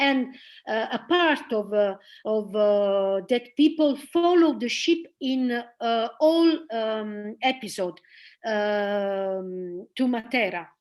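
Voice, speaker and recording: A woman with an Italian accent and a fairly high pitch speaks at a very slow pace. Her intonation is lively, and the background is quiet. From northern Italy, Milan. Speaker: theater director and actress. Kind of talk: presentation and interview. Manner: halting.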